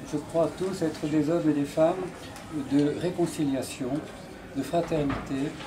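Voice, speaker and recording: With noticeable background noise and audible room echo, a man speaks fairly slowly at a fairly high pitch, his intonation monotone and flat. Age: 80s+. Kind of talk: speech at a dinner. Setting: dinner gathering.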